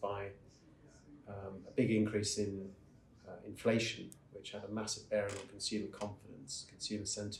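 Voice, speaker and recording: A man speaks at a moderate pace with a fairly low pitch. His voice is somewhat breathy, with audible room echo. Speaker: investment strategist. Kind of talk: interview answer at a conference.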